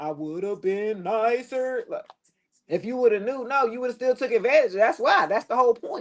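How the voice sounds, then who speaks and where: A woman speaks in an animated tone with lively intonation. Her pace is moderate. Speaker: tarot reader. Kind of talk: tarot reading livestream.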